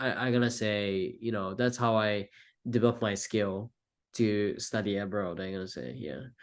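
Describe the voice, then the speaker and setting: Against a quiet background, a man with a Japanese accent talks at a fairly low pitch and a fairly slow pace, with ordinary pitch variation. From Japan, Tokyo. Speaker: filmmaker, college student. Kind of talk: interview. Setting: podcast. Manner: halting.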